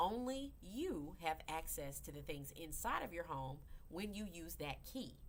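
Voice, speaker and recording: With an animated tone, a woman talks at a fairly slow pace amid audible room echo. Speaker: crypto educator. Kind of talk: livestream tutorial. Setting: live video broadcast.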